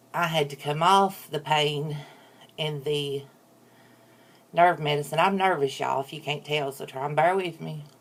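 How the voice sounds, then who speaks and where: A woman's very deep, low voice at a moderate pace, with fairly even intonation, big swings in loudness and long, frequent pauses. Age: 40s. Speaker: YouTuber. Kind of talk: casual chat.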